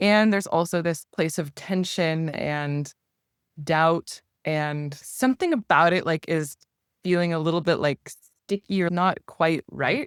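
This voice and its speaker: In a normal speaking voice, a woman with a Canadian accent talks at a fairly slow pace and a fairly low pitch with ordinary pitch variation, in a very clean recording with a silent background and a dry, close sound with no echo. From Canada. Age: 30s. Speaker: live Q&A participant. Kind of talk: casual chat.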